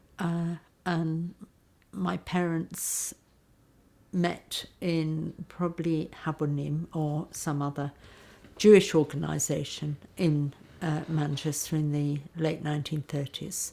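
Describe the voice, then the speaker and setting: A woman speaks at a very slow pace with a very deep, low pitch. Her tone is dark and mellow. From Yorkshire, northern England. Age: 70s. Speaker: daughter of a refugee. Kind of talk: testimony. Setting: interview in London. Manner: halting.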